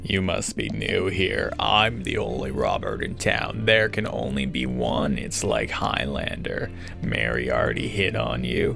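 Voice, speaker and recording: Gruff and gravelly, a man delivers a put-on character voice at a moderate pace. Loud music plays in the background. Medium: game stream. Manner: gruff, terse.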